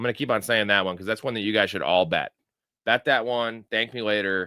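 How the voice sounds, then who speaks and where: An ordinary speaking voice from a man with an American accent, medium in pitch, with ordinary pitch variation. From Chicago. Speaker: sports betting and fantasy football streamer. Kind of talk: live stream commentary to chat. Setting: live stream. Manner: casual, filler-heavy with repetitions.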